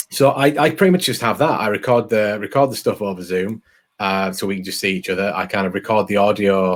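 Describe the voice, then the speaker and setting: A man with an English accent, fairly low in pitch, talking at a very fast pace. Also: ordinary pitch variation. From England. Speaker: podcaster. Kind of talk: interview conversation. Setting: video call. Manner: mumbling, many ums.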